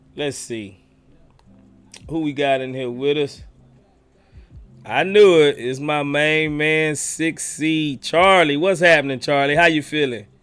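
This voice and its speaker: With music playing behind him, a man talks fairly slowly and leaves long, frequent pauses. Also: fairly high pitch for a man, ordinary pitch variation. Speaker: livestream host. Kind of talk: live stream chat. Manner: animated.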